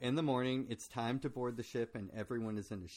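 Here is plain reading aloud. The intonation holds fairly even.

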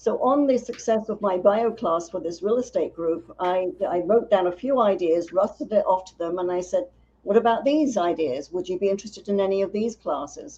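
With a slight London accent, a woman talks at a fairly quick pace and medium pitch, with hardly any pauses. Her tone is dark and mellow, her intonation lively. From North London, England. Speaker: business founder and writer. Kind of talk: casual interview chat.

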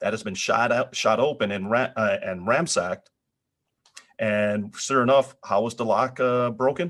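A man with an American accent uses an ordinary speaking voice at medium pitch. His pace is moderate and his pitch variation ordinary. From northern US. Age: middle-aged. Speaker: podcast co-host. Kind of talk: casual chat.

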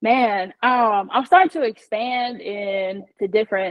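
Speaking at a fairly slow pace, a woman with an American accent has an unremarkable speaking voice. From US Midwest, Indiana. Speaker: shoe company founder. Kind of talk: interview.

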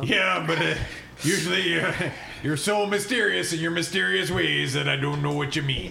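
A man's put-on character voice, fairly high in pitch, over clear background noise. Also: moderate pace. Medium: actual play. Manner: gruff, grumbling.

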